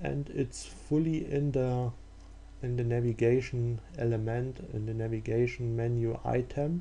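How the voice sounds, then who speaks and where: Speaking at a fairly slow pace, a man has a dark, mellow tone, a somewhat breathy quality and ordinary pitch variation. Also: medium pitch for a man. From Germany. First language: German. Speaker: software developer. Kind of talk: tutorial. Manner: halting, many fillers.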